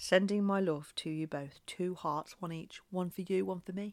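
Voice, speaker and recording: In an English accent, a woman speaks at a moderate pace with fairly even intonation. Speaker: former science teacher. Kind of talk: tutorial.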